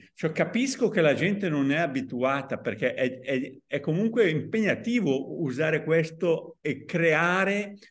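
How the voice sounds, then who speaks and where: Against a quiet background, a man with an unremarkable speaking voice talks at a fairly slow pace in a fairly high pitch, with lively intonation and hardly any pauses. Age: 60s. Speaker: podcast host and author; podcast host. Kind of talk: interview. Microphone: video call.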